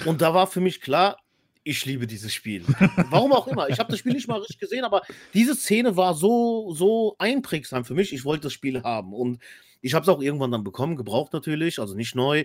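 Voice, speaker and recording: A man speaks at a fairly quick pace with a high pitch and very wide pitch swings, in a dry, close sound with no echo. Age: 30s. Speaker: podcast co-host. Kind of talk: casual chat.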